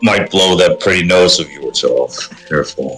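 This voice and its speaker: Delivered at a moderate pace, the voice is a put-on character voice. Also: man. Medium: actual play. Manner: gruff, dry.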